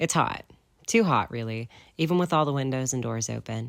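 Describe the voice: The text is read aloud plainly. Its intonation sounds lively.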